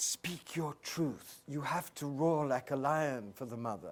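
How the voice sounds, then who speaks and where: A man talks at a very slow pace. He speaks in an Oxford accent. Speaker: spiritual teacher. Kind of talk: Q&A discussion with audience. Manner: impassioned, oratorical.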